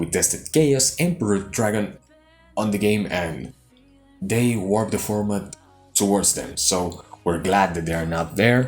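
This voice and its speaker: Over music in the background, a man talks at a moderate pace in a fairly low pitch. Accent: Spanish. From Chile. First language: Spanish. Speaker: YouTube card game channel co-owner. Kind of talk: deck profile presentation. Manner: halting.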